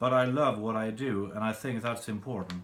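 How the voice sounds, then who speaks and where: Someone speaks at a moderate pace with a Swedish accent. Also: man. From Sweden. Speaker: songwriter. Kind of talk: tutorial.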